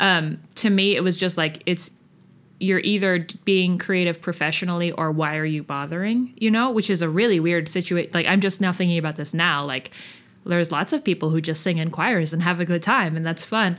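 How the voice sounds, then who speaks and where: Speaking fairly low for a woman, she has an unremarkable speaking voice and ordinary pitch variation. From Kentucky, then Boston area from age six. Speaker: musician. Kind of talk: interview.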